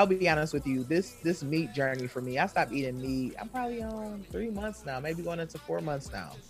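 A man with an American accent, fairly high in pitch with very wide pitch swings, music in the background. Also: fairly quick pace. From Wisconsin. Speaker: self-care coach. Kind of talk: casual chat.

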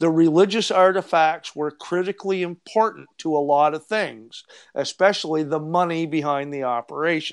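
An ordinary speaking voice from a man, fairly high in pitch, with ordinary pitch variation and a moderate pace. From Eastern Canada. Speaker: treasure hunter and researcher. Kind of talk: casual interview chat.

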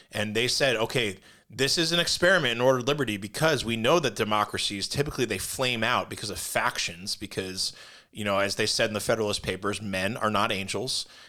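A man with an American accent, very fast delivery, a bright, sharp tone, medium pitch with ordinary variation, on a very clean recording over a silent background. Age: 40s. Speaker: podcast co-host, military veteran. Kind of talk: casual chat.

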